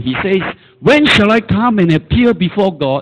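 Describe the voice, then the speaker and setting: A man's pitch swings very widely while noticeable background noise runs underneath. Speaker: preacher. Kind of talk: sermon. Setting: church. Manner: animated; exhorting the congregation with call-and-response.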